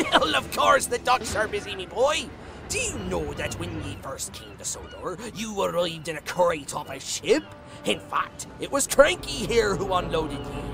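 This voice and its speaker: Over clear background music, a man performs a put-on character voice. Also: moderate pace. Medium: machinima. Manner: hearty, nautical.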